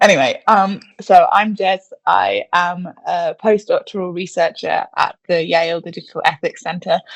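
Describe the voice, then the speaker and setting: Speaking at a fairly slow pace with hardly any pauses, a woman with a British accent is heard in a dry, close sound with no echo. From England. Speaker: postdoctoral researcher in digital health ethics. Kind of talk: panel discussion.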